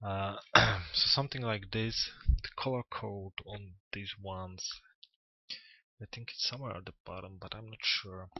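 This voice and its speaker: Pausing long and often, a man speaks at a fairly slow pace with a fairly low pitch, fairly even intonation and big swings in loudness. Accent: non-native. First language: not English. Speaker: 3D modelling tutor. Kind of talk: tutorial. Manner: halting, with many fillers.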